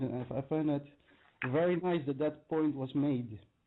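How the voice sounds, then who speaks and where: Fairly slow speech in a Dutch accent. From Netherlands, Limburg. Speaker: caller. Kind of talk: call-in chat. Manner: halting, many hesitations.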